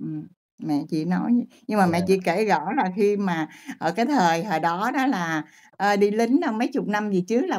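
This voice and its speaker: Lively intonation shapes every line. All around, the setting is quiet. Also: woman. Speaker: guest searching for her father. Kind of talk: casual storytelling. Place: home room.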